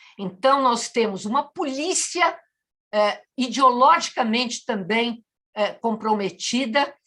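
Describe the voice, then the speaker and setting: Speaking at a very slow pace, a woman has a high pitch, a bright, sharp tone and lively intonation. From Madeira, Portugal; raised in Brazil from childhood. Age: 70s. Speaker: writer and cultural activist, interviewee. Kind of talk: interview, impassioned political statement. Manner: animated.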